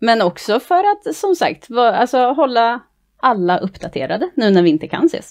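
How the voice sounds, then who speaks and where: Over a quiet background, a woman talks at a moderate pace in a fairly high pitch with very wide pitch swings. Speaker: dance club board member and dance instructor. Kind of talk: casual interview chat. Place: home room. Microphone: headset.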